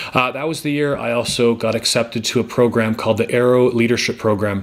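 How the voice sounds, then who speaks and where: A man with a Canadian accent talks at a very fast pace with fairly even intonation, against noticeable background noise. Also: medium pitch for a man. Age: 40s. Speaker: motivational speaker and former teacher. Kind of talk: personal testimony. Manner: halting, many fillers.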